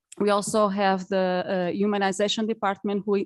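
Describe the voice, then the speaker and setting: Recorded dry and close with no echo, a woman speaks at a medium pitch in a Portuguese accent. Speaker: charity representative. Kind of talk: conference speech. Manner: halting.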